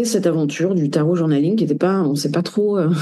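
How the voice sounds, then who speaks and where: The voice is dark and mellow at a fairly quick pace, with ordinary pitch variation and audible room echo. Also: woman. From France. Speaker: tarot reader and researcher. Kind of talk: interview. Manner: halting, many hesitations.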